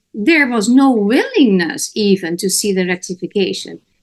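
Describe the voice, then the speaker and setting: Fairly high in pitch, a woman talks at a moderate pace with ordinary pitch variation. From Netherlands. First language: Dutch. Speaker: talk show host. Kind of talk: interview discussion. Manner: animated.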